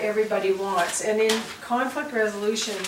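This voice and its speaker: Amid noticeable background noise and audible room echo, a woman speaks at a fairly high pitch and moderate pace with ordinary pitch variation. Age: 60s. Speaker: farm family coach. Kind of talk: instructional interview. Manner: halting.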